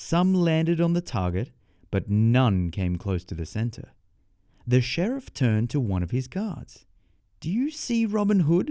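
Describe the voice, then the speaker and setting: The speech has an Australian accent, a dark, mellow tone and very wide pitch swings at a fairly slow pace. The recording is very clean with a silent background. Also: man, medium pitch for a man. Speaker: storyteller. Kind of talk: children's bedtime story reading. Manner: clear, measured pace for learners.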